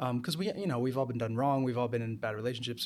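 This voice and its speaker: A man's unremarkable speaking voice with an American accent, medium in pitch, with fairly even intonation. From New Jersey. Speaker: musical theatre actor and singer-songwriter. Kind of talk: casual chat.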